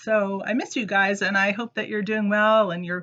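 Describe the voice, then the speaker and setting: The speaker is a woman. Her pitch is fairly high. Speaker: preschool teacher. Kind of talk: children's lesson video. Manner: animated.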